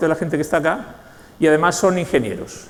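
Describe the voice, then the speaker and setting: A man with a Spanish accent talks at a very fast pace. Audible room echo and noticeable background noise surround him. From Spain, Basque Country (San Sebastián). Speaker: knowledge management consultant and speaker. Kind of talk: conference talk.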